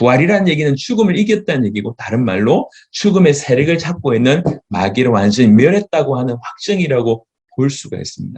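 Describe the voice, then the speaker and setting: A man with a fairly high, somewhat breathy voice moves through very wide pitch swings at a fairly quick pace. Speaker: pastor. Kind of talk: sermon lecture. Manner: halting.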